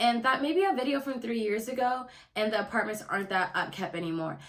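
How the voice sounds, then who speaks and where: A woman with a fairly high pitch speaks at a fairly quick pace in an animated tone. Room echo is audible. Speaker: lifestyle YouTuber. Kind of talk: casual vlog tips. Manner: fast.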